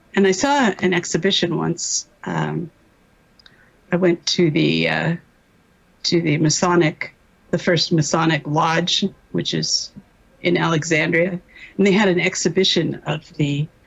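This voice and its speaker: Using a fairly low pitch with vocal fry, a woman talks at a fairly slow pace with long, frequent pauses. Her intonation is fairly even and her loudness very even. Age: 70s. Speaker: MKUltra survivor, doctor. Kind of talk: testimony. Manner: halting.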